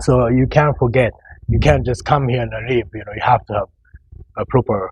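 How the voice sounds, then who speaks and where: A man with a Japanese accent talks at a moderate pace and medium pitch for a man, with ordinary pitch variation and a dry, close sound with no echo. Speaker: professional bodybuilder. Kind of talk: casual interview chat. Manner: halting, with many repeated words.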